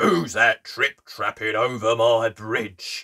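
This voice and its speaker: A man's put-on character voice, growling, medium in pitch, at a very slow pace. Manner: growling, menacing.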